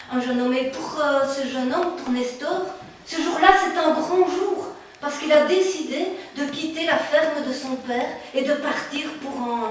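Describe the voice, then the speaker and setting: High-pitched, playful tone from a woman at a fairly slow pace, with noticeable background noise. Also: ordinary pitch variation. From Belgium. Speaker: storyteller. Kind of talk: live oral storytelling. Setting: live audience event. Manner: burlesque, clownish, playful.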